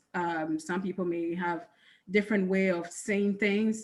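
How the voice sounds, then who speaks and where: With a strong Ghanaian accent, a woman speaks in a medium pitch and fairly even intonation. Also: very clean recording, silent background. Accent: thick Ghanaian. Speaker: accountant, panelist. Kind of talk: panel discussion.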